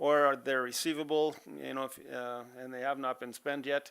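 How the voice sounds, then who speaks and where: Mumbling from a man with an Albertan accent, fairly quick in pace and fairly even in intonation, on a very clean recording with a silent background. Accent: Canadian English, Alberta. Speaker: auditor presenting financial statements to council. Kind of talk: financial report presentation at council meeting. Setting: council chamber meeting. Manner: casual, many fillers.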